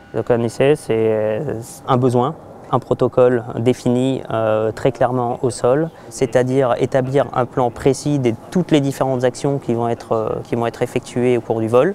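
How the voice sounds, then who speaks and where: Here a man talks at medium pitch in a dark, mellow tone. His pace is fairly slow and his intonation fairly even. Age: 30s. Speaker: military test pilot. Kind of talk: interview testimony. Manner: hesitant with many fillers.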